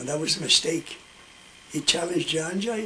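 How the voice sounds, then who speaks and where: Through noticeable background noise, a man speaks in a high pitch with ordinary pitch variation. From Ireland. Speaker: storyteller. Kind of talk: oral storytelling.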